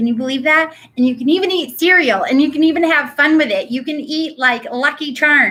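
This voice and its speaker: Someone speaks at a fairly quick pace in an animated tone. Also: woman. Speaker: fitness coach. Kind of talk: live Q&A stream.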